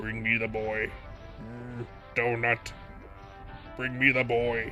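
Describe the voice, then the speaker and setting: Putting on a character voice at a medium pitch, a man speaks at a fairly slow pace while music plays clearly in the background. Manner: dopey, gluttonous, drawling.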